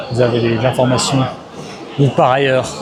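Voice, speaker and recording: A man with a medium pitch talks at a fairly quick pace. Audible room echo and crowd noise fill the background. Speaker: travel vlogger. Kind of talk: casual vlog. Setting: outdoors; airport. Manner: loud.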